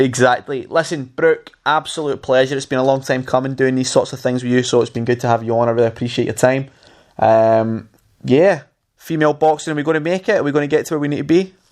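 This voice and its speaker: A man with a Scottish accent talks at a very fast pace, his pitch varying in an ordinary way. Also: medium pitch for a man, quiet background. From Scotland, Glasgow. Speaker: podcast host. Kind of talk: casual chat.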